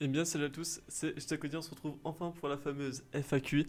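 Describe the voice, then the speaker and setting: A man's voice, pitched fairly high for a man, moves along at a moderate pace. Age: 20s. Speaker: youtuber. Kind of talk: casual chat. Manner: hesitant.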